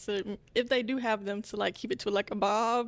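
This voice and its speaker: This woman has an unremarkable speaking voice with a fairly high pitch and fairly even intonation. She talks at a fairly quick pace on a very clean recording with a silent background. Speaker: dating show contestant, software developer. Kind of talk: casual chat.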